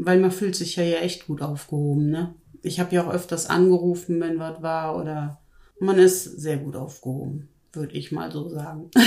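Speaking in a monotone, flat way, a woman uses a fairly low pitch and a dark, mellow tone. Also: moderate pace. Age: 50s. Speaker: weight-loss program participant. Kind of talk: interview. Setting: studio, in person.

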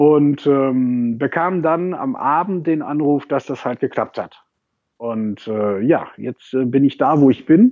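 This man talks at a very slow pace, his fairly high pitch showing ordinary pitch variation. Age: 30s. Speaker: social media manager. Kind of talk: interview. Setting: Skype call. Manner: hesitant, many filler sounds.

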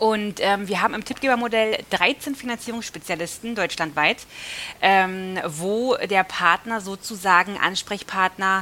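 A woman speaks in a plain, everyday voice at medium pitch and a moderate pace. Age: 30s. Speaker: mortgage finance manager. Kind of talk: casual interview.

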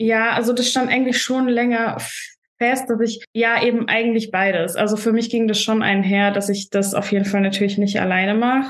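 A woman's fairly high voice at a moderate pace, with fairly even intonation, very even loudness and audible room echo. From Germany, Stuttgart. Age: 20s. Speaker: bodybuilding stage athlete. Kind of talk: casual podcast interview.

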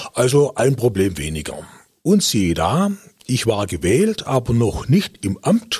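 Vocal fry colors this man's voice. He speaks at a fairly slow pace with very wide pitch swings. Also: medium pitch for a man. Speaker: retired district administrator. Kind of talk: interview. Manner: hesitant with fillers.

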